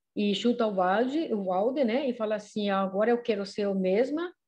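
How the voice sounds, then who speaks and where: Against a quiet background, a woman with a fairly high pitch and a dark, mellow tone speaks at a fairly slow pace. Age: 50s. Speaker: podcast panelist. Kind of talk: casual chat. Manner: halting.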